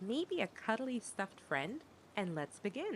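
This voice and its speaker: A woman with a gentle, soothing tone talks at a fairly slow pace, her pitch swinging very widely. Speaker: storyteller. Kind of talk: bedtime story reading for toddlers.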